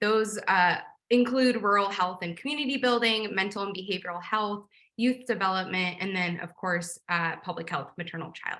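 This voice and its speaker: The speaker has an unremarkable speaking voice with an American accent. The pace is moderate and the pitch varies in an ordinary way. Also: woman, medium pitch for a woman. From New Hampshire, US. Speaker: evaluation consultant. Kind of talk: self-introduction pitch.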